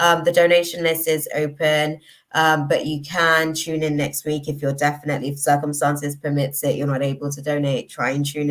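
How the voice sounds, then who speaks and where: Monotone, flat intonation marks a woman with a very deep, low pitch who speaks at a fairly quick pace. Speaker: tarot reader. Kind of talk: live stream reading.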